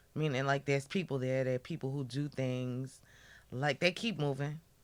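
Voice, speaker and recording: The speaker has a New York accent. The recording is very clean with a silent background. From New York area. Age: 20s. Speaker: podcast guest. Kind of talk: casual chat.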